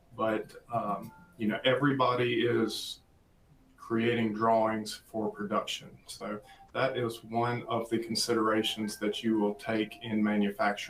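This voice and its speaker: With a slight Southern US accent, a man speaks slowly-ish at a fairly slow pace, medium in pitch and monotone in a flat intonation, over noticeable background noise. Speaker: applications engineer presenter. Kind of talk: webinar presentation.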